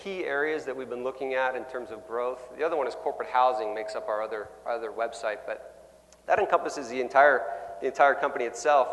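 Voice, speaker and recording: A man with a Canadian accent, medium pitch and fairly quick pace, with audible room echo. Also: big swings in loudness. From Canada. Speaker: sales executive. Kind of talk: conference keynote talk. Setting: stage with audience. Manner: loud.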